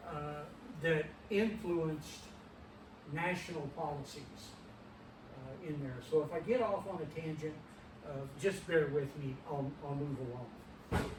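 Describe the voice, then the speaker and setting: A man with a Midwestern US accent, fairly high in pitch, at a fairly slow pace with long, frequent pauses, amid audible room echo and noticeable background noise. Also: ordinary pitch variation. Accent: rural Midwestern American. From Kansas, Allen County. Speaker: retired fire chief and lineage society commander. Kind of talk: history talk. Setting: meeting room with audience, no microphone. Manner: hesitant, many fillers. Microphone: no microphone, distant in room.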